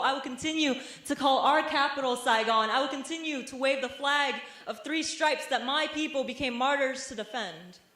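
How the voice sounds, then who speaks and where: A woman with an American accent speaks high in pitch at a moderate pace, with ordinary pitch variation, against noticeable background noise. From Vietnamese American. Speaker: spoken word poet. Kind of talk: spoken word poetry performance. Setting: university stage performance.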